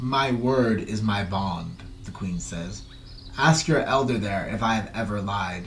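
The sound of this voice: The reading, done in an unforced reading voice, shows ordinary pitch variation.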